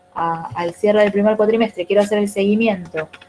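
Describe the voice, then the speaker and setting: Talking at a fairly quick pace amid noticeable background noise, a woman of medium pitch keeps her intonation fairly even. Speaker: teacher trainer. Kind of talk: online class.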